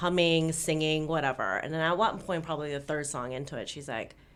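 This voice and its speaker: With an American accent, a woman talks in a very deep, low voice and an animated tone, with ordinary pitch variation and audible room echo. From Los Angeles, US. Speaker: podcast co-host. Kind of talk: casual chat.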